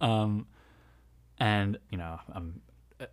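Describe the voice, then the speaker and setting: A speaker with an American accent uses ordinary pitch variation. The recording is very clean, with a silent background. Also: man. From New Jersey. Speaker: sound artist and audio engineer. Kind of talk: casual chat.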